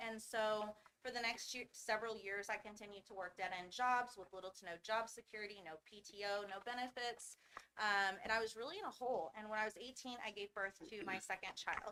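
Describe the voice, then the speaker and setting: Speaking at a fairly quick pace with an American accent, a woman with a fairly high pitch shows ordinary pitch variation and big swings in loudness, with noticeable background noise present. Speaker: founder of a medical training school. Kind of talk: personal testimony in a presentation. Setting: school board meeting. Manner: fast.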